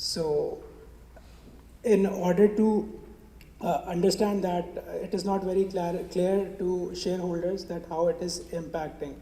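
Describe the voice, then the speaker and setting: A high-pitched man speaks in a monotone, flat way, with noticeable background noise and audible room echo. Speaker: management consultant presenting at a conference. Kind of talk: conference presentation. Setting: stage at a conference with audience. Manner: hesitant with many fillers. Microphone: gets quieter when moving away from the mic.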